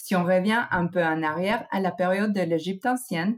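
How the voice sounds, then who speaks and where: A woman's medium-pitched voice, with a non-native accent and ordinary pitch variation, moves at a moderate pace. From United States (born in Mexico). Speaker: trend researcher. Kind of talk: scripted segment. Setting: recording at home.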